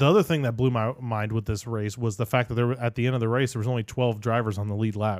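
Talking at a fairly quick pace, a man with a medium pitch and ordinary pitch variation has an ordinary speaking voice, captured in a very clean recording with a silent background. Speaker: podcast host. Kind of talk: casual chat.

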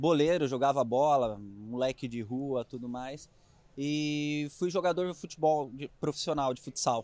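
Using an ordinary speaking voice, a man talks at a fairly slow pace with a fairly high pitch and ordinary pitch variation. His loudness swings widely. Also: very clean recording, silent background. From interior of São Paulo state, Brazil (Itapuí, near Jaú). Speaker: triathlon coach. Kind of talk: casual interview chat. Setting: outdoors at a triathlon expo.

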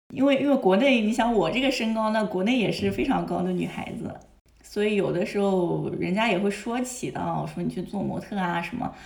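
A woman's fairly quick speech with ordinary pitch variation, audible room echo and noticeable background noise. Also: medium pitch for a woman. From China. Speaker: model, translator and music student. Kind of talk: casual interview chat. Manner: hesitant, many fillers.

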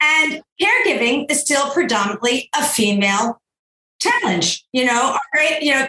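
Using a raised, projected voice, a woman speaks at a moderate pace with a high pitch and lively intonation. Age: 60s. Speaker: entrepreneur and gender equality advocate. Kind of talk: interview conversation.

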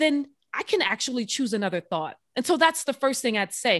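A woman with a high pitch talks at a moderate pace with very wide pitch swings, the sound dry and close with no echo and the background quiet. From New Orleans, Louisiana. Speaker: military veteran. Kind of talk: interview.

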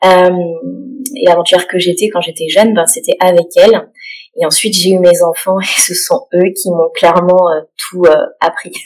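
A woman speaks at a fairly slow pace and a medium pitch with ordinary pitch variation while music plays in the background. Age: 30s. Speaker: stay-at-home mother and photographer. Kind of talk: interview testimony. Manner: hesitant with fillers and repetitions.

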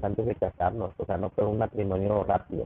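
A man with a Mexican accent speaks in a fairly low pitch. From Mexico. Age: 30s. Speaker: business owner. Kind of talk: interview. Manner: animated.

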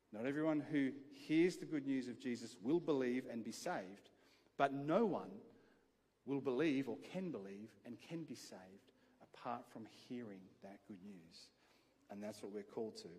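A man with an Australian accent and medium pitch speaks at a moderate pace with lively intonation. His loudness swings widely, and he leaves long, frequent pauses. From Adelaide, South Australia. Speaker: pastor. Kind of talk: sermon. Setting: church.

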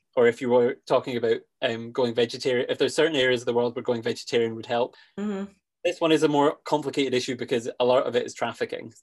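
Against a quiet background, a man talks at a very fast pace at medium pitch with ordinary pitch variation. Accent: Scottish. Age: 20s. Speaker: conservationist and podcast host. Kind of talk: casual interview chat.

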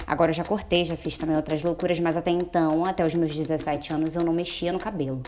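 A woman's fairly low-pitched, monotone voice at a fairly quick pace with hardly any pauses, over noticeable background noise. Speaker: podcast guest. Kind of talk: casual chat.

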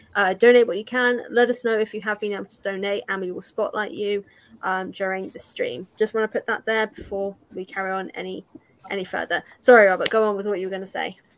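A woman in a British accent talks at a very fast pace, her loudness swinging a lot. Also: medium pitch for a woman. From UK. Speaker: YouTuber hosting a charity watch-along stream. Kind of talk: casual group movie commentary; charity fundraising appeal. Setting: online live stream call.

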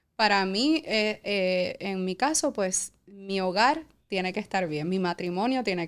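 A woman's medium-pitched, unremarkable speaking voice with ordinary pitch variation, in a very clean recording with a silent background. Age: 40s. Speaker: entrepreneur. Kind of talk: interview, personal story.

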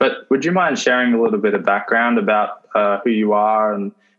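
A man is speaking. He has an Australian accent. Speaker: podcast host. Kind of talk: casual interview. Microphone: dodgy audio from internet connection.

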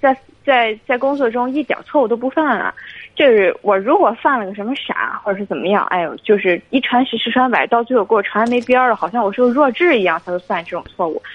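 A woman speaks in a high pitch with lively intonation. Noticeable background noise runs underneath. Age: 20s. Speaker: flight attendant. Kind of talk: call-in advice. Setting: phone call.

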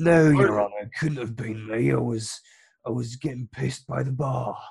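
A man puts on a raspy character voice at a medium pitch, talking at a moderate pace. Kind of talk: upper-class, formal.

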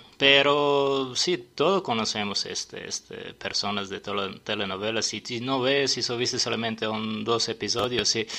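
Speaking in a Serbian accent, a man with a medium pitch and a bright, sharp tone talks at a fairly slow pace with ordinary pitch variation and hardly any pauses. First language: Serbian (speaking Spanish). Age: 40s. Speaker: sommelier and restaurant owner. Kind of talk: radio interview. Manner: halting.

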